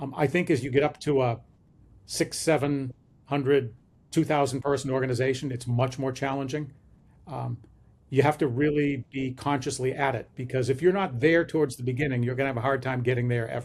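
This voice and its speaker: A man with a medium pitch talks at a fairly quick pace, somewhat breathy, with fairly even intonation. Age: 60s. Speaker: management consultant. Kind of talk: interview. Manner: hesitant with fillers.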